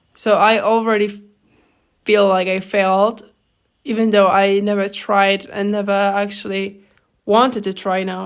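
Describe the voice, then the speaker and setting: A woman's medium-pitched voice in a non-native accent, with fairly even intonation, on a very clean recording with a silent background. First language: not English. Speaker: podcaster. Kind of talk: casual monologue. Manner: halting, with fillers and false starts.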